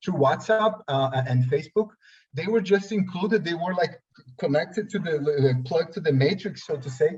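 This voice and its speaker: Here a man speaks with a Portuguese accent. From Brazil. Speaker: workshop participant. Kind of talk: seminar discussion. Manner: halting, many restarts.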